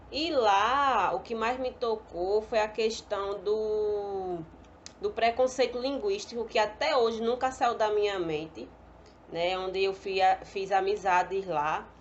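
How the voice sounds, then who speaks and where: A woman with a fairly high pitch speaks at a very slow pace. Her pitch varies in an ordinary way. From Pernambuco, northeast Brazil. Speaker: pedagogy student. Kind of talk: personal testimony.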